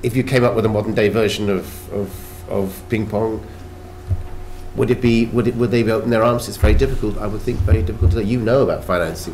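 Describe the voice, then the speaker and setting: A man with a British accent speaks very fast at a fairly low pitch with ordinary pitch variation, his voice carrying audible room echo over noticeable background noise. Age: 60s. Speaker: actor. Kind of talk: panel discussion. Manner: halting, many restarts.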